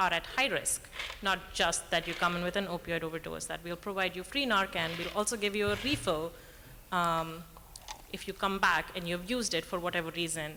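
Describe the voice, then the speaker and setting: A woman's shaky voice comes through noticeable background noise. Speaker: audience member, emergency room worker. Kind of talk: audience question at panel Q&A. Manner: quiet, asked to speak up.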